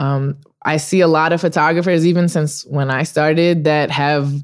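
A woman's very deep, low-pitched voice at a moderate pace, with fairly even intonation, on a very clean recording with a silent background. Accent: Californian. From Los Angeles. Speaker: sports photographer. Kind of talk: casual chat.

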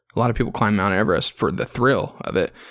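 Speaking in a fairly low pitch, a man shows vocal fry. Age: 20s. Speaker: podcast host. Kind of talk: solo casual monologue with beer review. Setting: hotel room.

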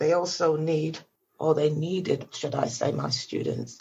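A woman with a very deep, low pitch speaks at a fairly slow pace, using vocal fry and ordinary pitch variation. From Jamaica, then Nottingham from about age 10. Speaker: teacher and exercise book publisher. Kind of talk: interview.

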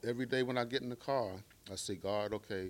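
A very fast male voice with an American accent and fairly even intonation. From Baltimore, Maryland. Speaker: physician and rideshare driver. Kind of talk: testimony. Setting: stage with audience.

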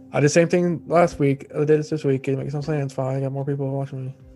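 Over music in the background, the speaker delivers lines in a deadpan tone at a fairly quick pace with fairly even intonation. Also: man. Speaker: podcast host; storyteller who reads stories aloud. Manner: deadpan, monotone.

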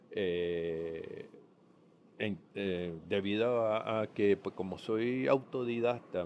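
His intonation is fairly even. This man's voice sits at a fairly low pitch. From Puerto Rico. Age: 50s. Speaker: podcaster sharing diabetes journey. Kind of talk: personal testimony monologue. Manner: halting, many fillers and repetitions.

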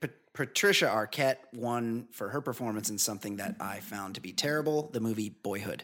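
This is a plain, everyday voice at a fairly quick pace with ordinary pitch variation. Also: man, medium pitch for a man. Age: 40s. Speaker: podcast host. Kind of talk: casual chat.

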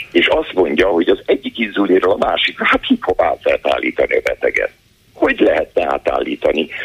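Over noticeable background noise, a man talks at a fairly quick pace, his loudness very even. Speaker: healthcare policy expert. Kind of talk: phone-in interview.

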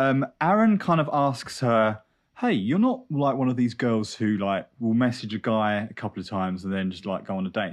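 Against a quiet background, a man at a medium pitch speaks at a moderate pace in an animated tone with lively intonation. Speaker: podcast co-host. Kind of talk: casual chat. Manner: animated, chatty.

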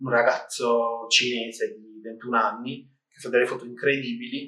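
The man's tone is bright and sharp. He keeps to a fairly slow pace. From Apulia, southern Italy (San Nicandro di Bari). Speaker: photographer. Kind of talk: interview. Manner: halting.

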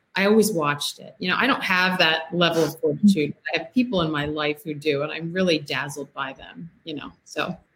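A woman in an American accent with an unremarkable speaking voice, fairly low pitch and ordinary pitch variation, at a fairly quick pace with hardly any pauses and big swings in loudness. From US, Maryland. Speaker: novelist. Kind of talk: casual chat. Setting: video call.

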